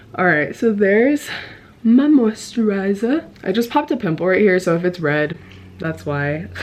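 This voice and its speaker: A woman's pitch swings very widely, with noticeable background noise behind her. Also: medium pitch for a woman. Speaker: beauty vlogger. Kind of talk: makeup tutorial. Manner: fast; casual.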